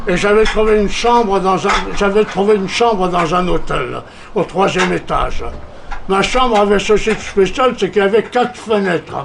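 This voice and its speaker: A man with a high-pitched voice talks at a moderate pace with fairly even intonation and very even loudness. Audible room echo and noticeable background noise are present. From Corsica, France. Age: 80s+. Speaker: veteran journalist and politician. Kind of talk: conference talk.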